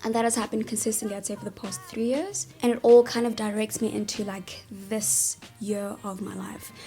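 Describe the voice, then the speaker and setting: A woman with a fairly high voice talks at a fairly quick clip, barely pausing, her loudness rising and falling sharply and her pitch moving in an ordinary way over noticeable background noise. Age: 20s. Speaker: vlogger. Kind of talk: casual vlog talk. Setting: sitting in a bathtub. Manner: animated.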